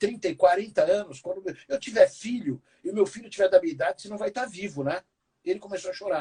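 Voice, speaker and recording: An animated man talks at a fairly quick pace with a high pitch and lively intonation. The sound is dry and close with no echo. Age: 60s. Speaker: keynote speaker and business professor. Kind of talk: interview conversation.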